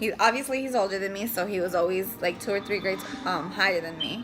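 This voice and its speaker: Noticeable background noise sits behind a woman speaking at a fairly quick pace. Her intonation is lively. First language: Spanish. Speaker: family vlogger, mother. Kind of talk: casual chat. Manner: hesitant, many fillers.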